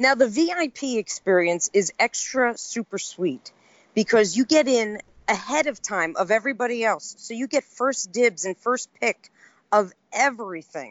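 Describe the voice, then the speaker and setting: An enthusiastic woman's voice, fairly high in pitch, with lively intonation at a moderate pace. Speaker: collector group admin. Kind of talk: casual chat. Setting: phone call.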